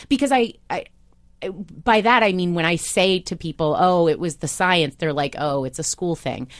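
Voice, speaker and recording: A woman with an American accent speaks at a moderate pace and medium pitch with lively intonation, in a plain, everyday voice. The background is quiet. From US Midwest, Iowa. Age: 30s. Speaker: TV news correspondent. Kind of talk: interview.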